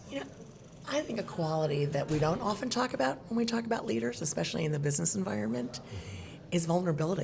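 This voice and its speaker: A woman's very deep, low pitch with very wide pitch swings and very even loudness, at a very fast pace over noticeable background noise. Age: 60s. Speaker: nonprofit CEO. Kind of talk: interview. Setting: podcast.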